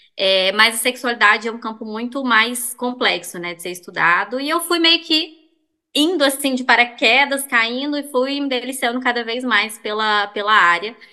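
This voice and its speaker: At a moderate pace, a woman speaks at a high pitch in a bright, sharp tone, with ordinary pitch variation and big swings in loudness. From Belo Horizonte, Brazil. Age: 20s. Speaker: sex therapist. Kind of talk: casual chat.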